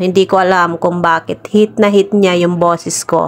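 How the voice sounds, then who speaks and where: Music plays in the background. A woman speaks at a medium pitch with fairly even intonation. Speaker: vlogger. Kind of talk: voice-over vlog narration. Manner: casual.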